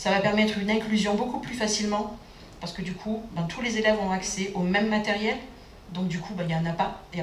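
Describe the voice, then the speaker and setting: A woman talks at a fairly quick pace with fairly even intonation, her voice carrying audible room echo over noticeable background noise. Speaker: educational advisor. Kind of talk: round table presentation. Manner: fast.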